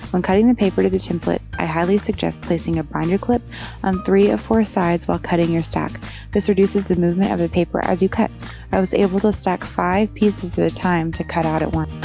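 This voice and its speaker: Music plays in the background as a woman talks at a very fast pace. Her loudness stays very even. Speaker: crafter, card maker. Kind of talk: craft tutorial voiceover.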